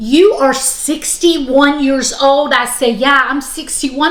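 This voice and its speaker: A woman speaks in an animated tone at a high pitch and a fairly slow pace. There is audible room echo and noticeable background noise. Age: 60s. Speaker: knitting channel co-host. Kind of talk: casual chat.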